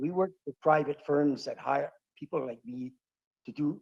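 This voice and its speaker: Speaking at a moderate pace, a man with a fairly high pitch and a dark, mellow tone uses lively intonation. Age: 70s. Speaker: retired pilot and former smuggler. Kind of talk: interview.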